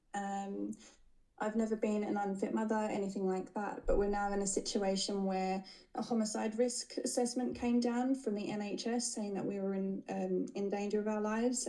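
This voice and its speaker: Fairly even intonation from a woman at medium pitch, with noticeable background noise. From Australia. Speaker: caller seeking legal advice. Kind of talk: live Q&A call.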